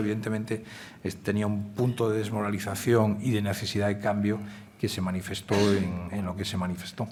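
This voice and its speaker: A man speaks at a very fast pace with fairly even intonation. Room echo is audible. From Galicia, Spain. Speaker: newspaper editor. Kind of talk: Q&A at a public forum. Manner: hesitant fillers.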